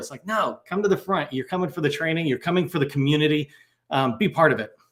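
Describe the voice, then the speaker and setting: A man speaks with ordinary pitch variation. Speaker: federal sales trainer. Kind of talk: online training webinar. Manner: fast.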